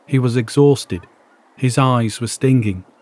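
Using a dark, mellow tone, a man with a medium pitch speaks at a moderate pace. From northern England, Warrington. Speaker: podcaster. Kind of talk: scripted narration; reading aloud.

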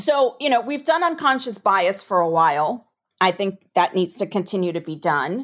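A woman with a New York accent at a medium pitch, very wide pitch swings, on a very clean recording with a silent background. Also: moderate pace. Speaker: corporate compliance executive. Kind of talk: interview.

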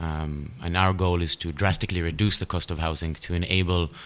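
A very deep, low male voice with fairly even intonation, on a very clean recording with a silent background. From Israel. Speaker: startup founder. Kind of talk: interview.

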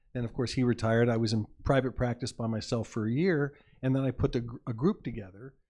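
Over a quiet background, a man with a dark, mellow tone and medium pitch talks at a very fast pace with fairly even intonation. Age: 70s. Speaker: optometrist. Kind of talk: casual chat.

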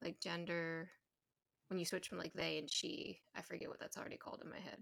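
A woman talking at a fairly quick pace. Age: 30s. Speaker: podcast host. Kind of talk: casual interview chat. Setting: remote call.

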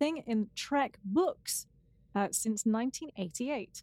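A woman with a plain, everyday voice and lively intonation, recorded with a dry, close sound and no echo. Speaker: podcast co-host. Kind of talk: casual podcast chat, episode recap. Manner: playful, joking.

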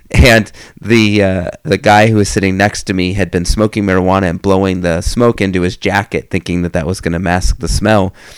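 In an American accent, the speaker moves at a fairly quick pace with hardly any pauses. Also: man, very deep, low pitch for a man. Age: 30s. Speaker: podcast host. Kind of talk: casual monologue about books. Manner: hesitant, many fillers.

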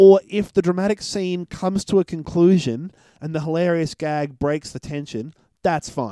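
This man has a high pitch, a dark, mellow tone and an Australian accent, with ordinary pitch variation at a moderate pace, in a dry, close, very clean recording with a silent background. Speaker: podcast host, film reviewer. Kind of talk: casual chat.

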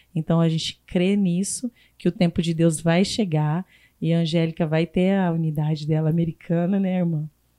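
A woman speaks fairly low at a moderate pace, her dark, mellow tone kept monotone and flat, at very even loudness, with a dry, close sound and no echo. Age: 40s. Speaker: restaurant group director. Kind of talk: podcast interview.

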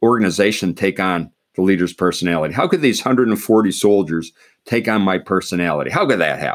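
On a very clean recording with a silent background, a man with an American accent speaks at a fairly quick pace, fairly low in pitch, with lively intonation. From Pennsylvania, US. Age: 60s. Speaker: retired army general, leadership author. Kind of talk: interview conversation. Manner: halting, many repeated words.

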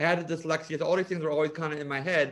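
A man with a New Jersey accent, high-pitched, at a very fast pace and with fairly even intonation. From US Northeast, South Jersey. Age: 40s. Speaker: cosmetic chemist and author. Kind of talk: interview.

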